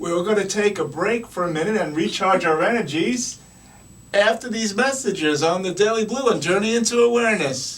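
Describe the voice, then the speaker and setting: Delivered at a moderate pace with ordinary pitch variation, the speech carries audible room echo and noticeable background noise. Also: man, high pitch for a man. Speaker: radio show host. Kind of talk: talk show conversation. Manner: animated.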